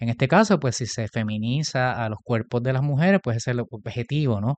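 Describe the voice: A man talks at a fairly quick pace with ordinary pitch variation. The sound is dry and close with no echo, and his tone is slightly mellow. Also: medium pitch for a man.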